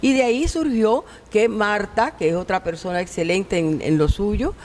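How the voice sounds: With a slightly mellow tone, a woman speaks at medium pitch and a moderate pace, using ordinary pitch variation.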